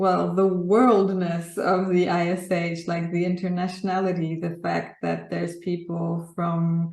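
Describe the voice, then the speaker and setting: In a Polish accent, a woman reads at a fairly slow pace with a fairly low pitch and monotone, flat intonation. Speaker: graphic artist. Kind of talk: interview. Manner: hesitant, with many fillers.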